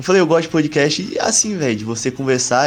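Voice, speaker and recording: Noticeable background noise sits under a man's voice. He talks at a very fast pace with lively intonation. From Alagoas, Brazil. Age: 20s. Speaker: medical student. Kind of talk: casual chat.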